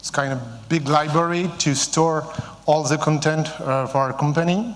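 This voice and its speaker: A man with a French accent speaks at a moderate pace with a fairly high pitch and ordinary pitch variation, amid audible room echo. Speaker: company CEO. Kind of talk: conference talk. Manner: halting, many fillers.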